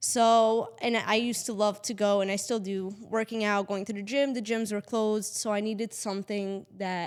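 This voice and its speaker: A woman with a Portuguese accent speaks at a moderate pace in a flat monotone at medium pitch, on a very clean recording with a silent background. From Portugal. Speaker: real estate agent, podcast co-host. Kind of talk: casual chat.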